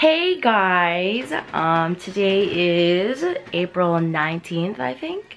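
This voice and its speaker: Her pitch is fairly low for a woman. She talks at a very slow pace. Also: ordinary pitch variation. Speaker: beauty vlogger. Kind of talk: casual vlog talk. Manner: hesitant, many fillers.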